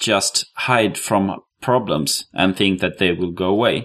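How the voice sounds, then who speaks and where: At a fairly slow pace, a man speaks with a Swedish accent. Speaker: podcast co-host, web developer. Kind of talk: interview; casual chat.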